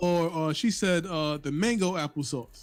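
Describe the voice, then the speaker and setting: With an American accent and lively intonation, a man speaks on a very clean recording with a silent background. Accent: New York, comes out on certain words. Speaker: podcast co-host. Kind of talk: casual chat.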